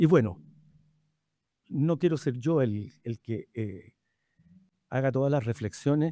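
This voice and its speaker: Speaking at a very slow pace with long, frequent pauses, a man uses lively intonation in a dark, mellow tone. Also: dry, close sound with no echo. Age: 70s. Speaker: physician moderating a panel discussion. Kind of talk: panel discussion introduction. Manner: halting, many fillers.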